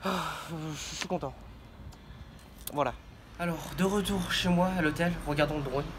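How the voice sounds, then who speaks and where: Long, frequent pauses break up a man's fairly high, fairly evenly intoned speech, heard with audible room echo and noticeable background noise. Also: fairly slow pace. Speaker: vlogger. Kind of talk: travel vlog. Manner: halting.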